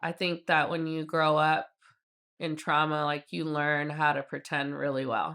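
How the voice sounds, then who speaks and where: A woman's bright, sharp tone at a fairly slow pace, with fairly even intonation, on a very clean recording with a silent background. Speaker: PR agency owner and community advocate. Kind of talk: podcast interview. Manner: loud; casual, filler-heavy.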